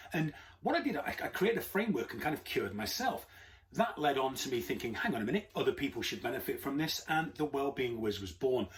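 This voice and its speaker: Clear noise fills the background. Over it, a man speaks very rapidly. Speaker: anxiety coach and podcast host. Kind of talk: interview podcast. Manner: chirpy.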